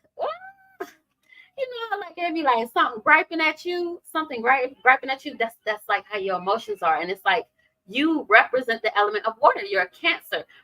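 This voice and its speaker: Raised and projected, the animated voice has a bright, sharp tone, very wide pitch swings and a fairly quick pace, with a dry, close sound and no echo. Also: woman, high pitch for a woman. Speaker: tarot reader. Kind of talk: live tarot reading. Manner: casual, animated; fast.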